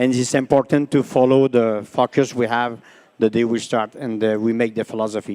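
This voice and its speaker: With a Quebec accent, a man talks at medium pitch in a dark, mellow tone and monotone, flat intonation, the sound dry and close with no echo. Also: moderate pace. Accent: Québécois French accent in English. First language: French. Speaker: dairy cattle breeder. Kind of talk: panel discussion answer. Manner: halting.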